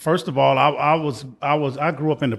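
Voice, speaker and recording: Against a quiet background, a man talks at a moderate pace. His pitch shows ordinary variation. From Chicago, US Midwest. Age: 60s. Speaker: retired warehouse worker. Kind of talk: casual interview.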